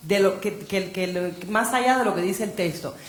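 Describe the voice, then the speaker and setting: A woman at a moderate pace with ordinary pitch variation, amid audible room echo and noticeable background noise. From Cuba. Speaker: novelist. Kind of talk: panel discussion. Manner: animated.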